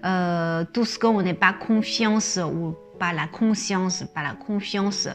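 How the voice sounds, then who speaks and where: There is music in the background as a woman with a medium pitch and ordinary pitch variation speaks at a very slow pace. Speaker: image consultant and hypnosis coach. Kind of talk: casual talk to camera, explanatory. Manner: hesitant, many filler words.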